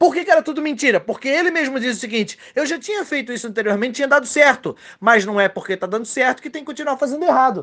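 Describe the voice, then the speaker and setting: At an extremely high pitch, a man delivers lively intonation in a bright, sharp tone with hardly any pauses. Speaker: trading podcaster giving advice. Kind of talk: angry rant, scolding a reckless trader. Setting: solo recording. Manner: loud, harsh, sarcastic, cursing.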